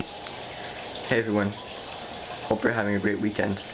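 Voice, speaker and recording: Against noticeable background noise, a man with fairly low pitch talks at a fairly quick pace. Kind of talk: DIY tutorial narration. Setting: cheap digital camera recording. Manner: hesitant, stuttering.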